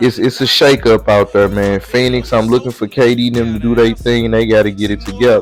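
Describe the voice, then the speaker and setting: With music in the background, a man in a St. Louis accent talks at medium pitch and a very fast pace, monotone and flat, with hardly any pauses. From St. Louis, Missouri (US Midwest). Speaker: podcast host. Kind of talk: casual monologue. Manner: hesitant, many fillers.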